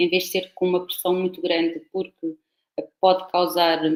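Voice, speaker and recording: This woman has a fairly low pitch. She speaks with a European Portuguese accent. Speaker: professor. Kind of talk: lecture.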